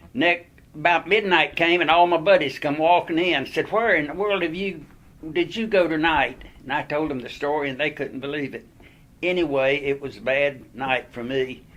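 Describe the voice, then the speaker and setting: A man with a North Carolina accent talks at a moderate pace, his fairly high pitch showing ordinary pitch variation. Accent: Southern US (North Carolina). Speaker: war veteran. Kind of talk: oral history storytelling.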